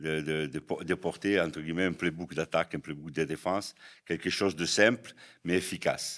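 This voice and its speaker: Captured in a very clean recording over a silent background, a man with a southern French accent speaks at a moderate pace with a very deep, low pitch and fairly even intonation. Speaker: American football head coach. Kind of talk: podcast interview answer.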